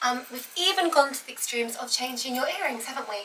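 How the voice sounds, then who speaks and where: A woman speaks in a British accent at a high pitch. Background noise is noticeable. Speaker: personal stylist. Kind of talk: casual styling demonstration.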